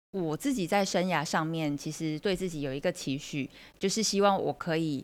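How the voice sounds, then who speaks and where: A woman with a Taiwanese accent speaks at a moderate pace and a fairly low pitch, with ordinary pitch variation. The recording is very clean, with a silent background. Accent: Taiwanese Mandarin. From Taiwan, Kaohsiung. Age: 40s. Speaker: career coach, semiconductor manager. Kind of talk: interview.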